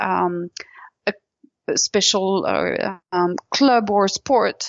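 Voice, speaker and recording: A woman's fairly even intonation. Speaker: business school admissions director. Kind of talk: interview. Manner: halting.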